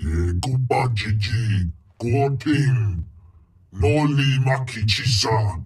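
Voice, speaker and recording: A man's put-on character voice at medium pitch and a very slow pace. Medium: video game. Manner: imperious, speaking in an alien tongue.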